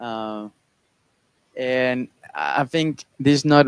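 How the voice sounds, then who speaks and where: A man speaks in a Spanish accent. The sound is dry and close, with no echo. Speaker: research fellow presenting project. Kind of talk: conference presentation. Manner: halting.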